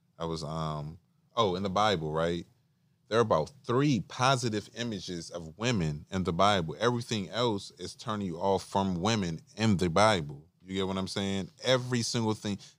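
In an ordinary speaking voice, a man with an American accent talks at a moderate pace. His pitch is fairly low with ordinary variation, in a very clean recording with a silent background. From Washington DC area. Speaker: podcast guest. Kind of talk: casual chat.

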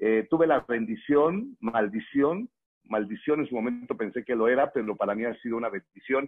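His speech comes at a moderate speed. The man talks with a Mexican accent. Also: medium pitch for a man, ordinary pitch variation. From Mexico, Morelia, Michoacán. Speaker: network marketing distributor and trainer. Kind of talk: motivational training talk.

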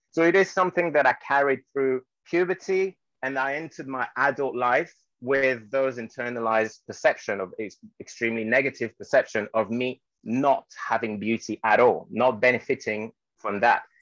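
A man talks at a medium pitch and a moderate pace, with ordinary pitch variation. The sound is dry and close, with no echo. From Guadeloupe, then mainland France. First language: French. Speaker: anti-racism trainer and model. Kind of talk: interview.

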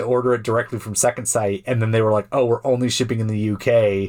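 Speaking at a very fast pace, the voice keeps a fairly even intonation. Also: man. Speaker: film podcast host. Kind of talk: casual chat. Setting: home recording in a small closet.

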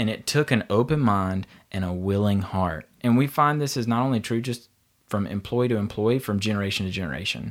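Man with a Southern US accent and a fairly low pitch, on a very clean recording with a silent background. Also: ordinary pitch variation, fairly quick pace. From North Carolina, Asheboro. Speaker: business leader. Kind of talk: casual chat.

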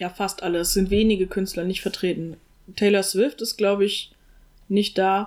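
Her intonation is monotone and flat. The woman is heard on a very clean recording with a silent background. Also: medium pitch for a woman, moderate pace. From Germany, small town. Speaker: podcast co-host. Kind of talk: casual chat.

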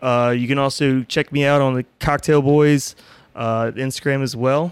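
On a very clean recording with a silent background, a man talks at a moderate pace with fairly high pitch and fairly even intonation. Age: 30s. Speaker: bartender. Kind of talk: casual chat. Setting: studio.

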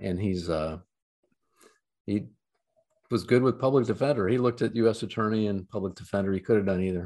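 A man with a Midwestern American accent talks at a very fast pace but with long, frequent pauses, his fairly low voice dark and mellow in tone, with ordinary pitch variation. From Ohio, US Midwest. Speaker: trial lawyer. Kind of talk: interview. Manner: halting.

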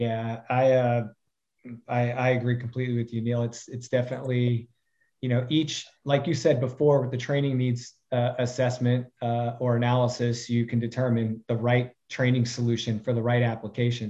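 The tone is dark and mellow, the intonation monotone and flat, and the pace moderate. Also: man, medium pitch for a man. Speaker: consulting CEO, course provider. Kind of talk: casual interview chat.

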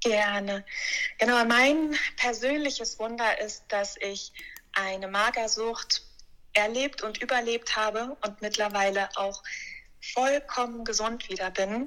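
With a bright, sharp tone and fairly even intonation, a woman talks at a very slow pace in a fairly high voice, leaving long, frequent pauses. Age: 30s. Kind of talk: interview, personal testimony.

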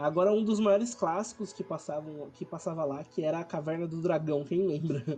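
With hardly any pauses, a man speaks in a high pitch. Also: ordinary pitch variation, moderate pace. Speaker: podcast host. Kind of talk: casual chat.

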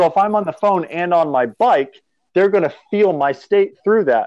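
Lively intonation marks this man's speech, delivered at a moderate pace with an American accent. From New Hampshire, US. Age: 20s. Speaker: startup business owner. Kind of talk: casual interview.

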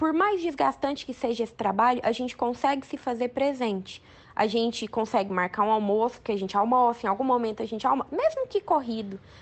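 A woman speaks at a moderate pace with a high pitch. Her intonation is lively. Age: 20s. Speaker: oral surgeon. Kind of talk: recorded advice commentary.

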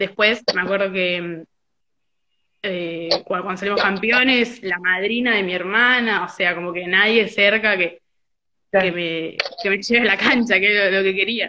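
A woman with an unremarkable speaking voice talks at a medium pitch and a fairly slow pace, her intonation fairly even. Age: 20s. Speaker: football fan activist. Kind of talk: casual chat. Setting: video call.

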